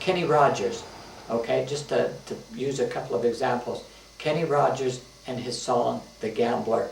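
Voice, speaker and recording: Audible room echo and noticeable background noise around a man speaking at a fairly slow speed. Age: 70s. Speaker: retired teacher and author. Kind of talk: casual reminiscing monologue. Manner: halting, many fillers.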